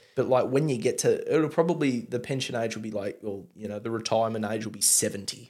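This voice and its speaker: Talking very fast with hardly any pauses, a man with a strong Australian accent speaks at medium pitch, with ordinary pitch variation and big swings in loudness, on a very clean recording with a silent background. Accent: broad Australian. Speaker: podcast host and beer reviewer. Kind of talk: casual chat.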